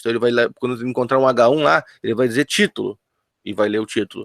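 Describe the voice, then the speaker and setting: The recording is dry and close with no echo as a man speaks at a medium pitch with ordinary pitch variation. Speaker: teacher. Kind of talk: online lecture. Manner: fast.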